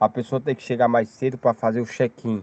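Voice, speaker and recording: A man at a medium pitch, in a dry, close sound with no echo. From Brazil, Paraíba (Campina Grande). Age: 30s. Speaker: storyteller sharing a UFO experience. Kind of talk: personal testimony.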